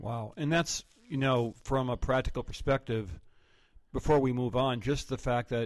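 In an unremarkable speaking voice, a man talks at a moderate pace and medium pitch with ordinary pitch variation. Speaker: pastor and podcast host. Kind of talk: interview.

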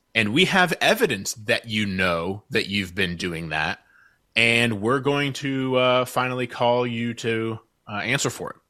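A man with an unremarkable speaking voice at a medium pitch talks at a fairly slow pace with lively intonation, in a very clean recording with a silent background. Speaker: social media expert. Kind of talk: interview.

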